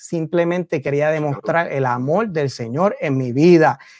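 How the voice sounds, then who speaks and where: With an ordinary speaking voice, a man talks at a moderate pace, his pitch fairly high and its variation ordinary. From Puerto Rico, Río Piedras. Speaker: theologian. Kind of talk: casual chat.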